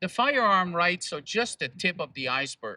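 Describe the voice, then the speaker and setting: Bright and sharp in tone, this voice moves at a moderate pace with lively intonation and a French Canadian accent, recorded dry and close with no echo. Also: man. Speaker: activist speaker. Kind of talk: public speech.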